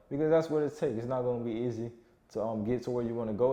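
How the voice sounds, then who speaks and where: A man's medium-pitched voice with a dark, mellow tone, fairly even intonation and a South Florida accent. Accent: South Florida urban American English. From South Florida, Broward County. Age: 20s. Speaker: online fitness coach. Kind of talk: motivational monologue. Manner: casual, repetitive with self-corrections.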